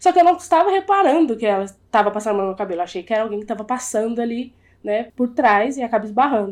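A woman with a fairly high pitch talks very fast. The background is quiet. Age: 20s. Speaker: podcast guest. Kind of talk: casual chat.

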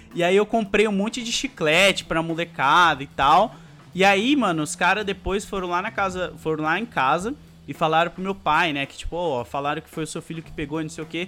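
The man's voice is high-pitched, with a bright, sharp tone and big swings in loudness. He moves at a fairly quick pace with ordinary pitch variation. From Brazil, São Paulo (born in Alagoas, moved at 3). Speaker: YouTuber. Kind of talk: casual interview chat.

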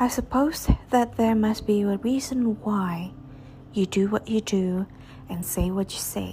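This woman has an ordinary speaking voice with a medium pitch. She speaks fairly slowly, with ordinary pitch variation. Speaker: podcast host reading poetry. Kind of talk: poem performed, reading aloud of love poems.

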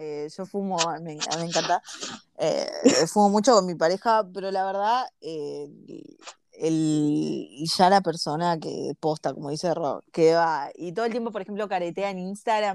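With a Rioplatense accent, a woman speaks at a fairly slow pace in a fairly low pitch, with ordinary pitch variation and big swings in loudness. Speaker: podcast co-host. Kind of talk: casual chat.

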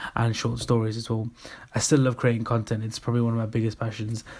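A man with an English accent, medium-pitched and monotone, his intonation flat. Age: 20s. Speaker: podcast host and marketing agency director. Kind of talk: solo podcast monologue.

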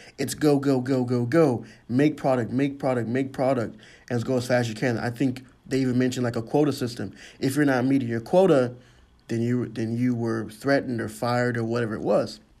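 A man talks fairly quickly at a medium pitch with fairly even intonation. His tone is dark and mellow, and room echo is audible. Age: 20s. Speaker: college student. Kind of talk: school project monologue. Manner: halting.

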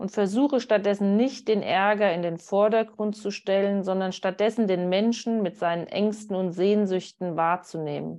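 A woman's dark, mellow tone carries fairly even intonation over a quiet background. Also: medium pitch for a woman, hardly any pauses. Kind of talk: guided meditation. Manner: calm, slow, soothing guidance.

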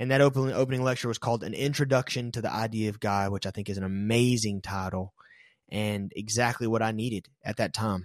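Very fast speech in an American accent on a very clean recording with a silent background. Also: man, medium pitch for a man, fairly even intonation. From US South. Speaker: podcast host. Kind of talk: personal testimony.

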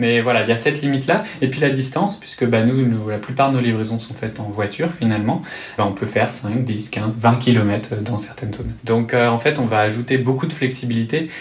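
A man with a medium pitch and ordinary pitch variation talks at a fairly quick pace amid noticeable background noise and audible room echo. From rural western France. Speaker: startup co-founder. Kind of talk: interview. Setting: office.

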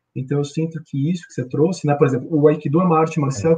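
The speaker has a São Paulo accent and a dark, mellow tone. The delivery is very fast, with fairly even intonation. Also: man. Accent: Brazilian Portuguese, paulistano. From Brazil, São Paulo city. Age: 40s. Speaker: corporate trainer and aikido practitioner. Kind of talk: casual interview on a livestream.

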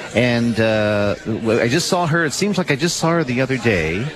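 An upbeat man's voice with lively intonation over noticeable background noise. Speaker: radio host. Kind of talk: live radio show with guests, casual chat. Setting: live event in a noisy room. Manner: upbeat, friendly.

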